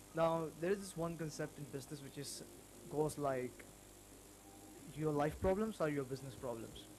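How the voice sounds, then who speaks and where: With a non-native accent, a man speaks in a fairly high voice, leaving long, frequent pauses. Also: ordinary pitch variation, moderate pace. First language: not English. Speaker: small business owner. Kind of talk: personal vlog. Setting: self-recorded video. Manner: halting.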